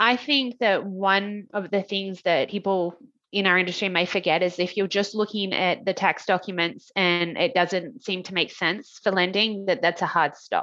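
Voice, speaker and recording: A woman's bright, sharp voice with an Australian accent, at a moderate pace with hardly any pauses and fairly even intonation. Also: medium pitch for a woman. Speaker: mortgage broker. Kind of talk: casual interview chat.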